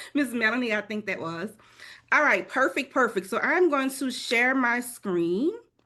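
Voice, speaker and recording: Her voice is high-pitched, with a bright, sharp tone and lively intonation, as this woman speaks. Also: moderate pace, quiet background. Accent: New Orleans. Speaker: travel advisor. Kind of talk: webinar presentation.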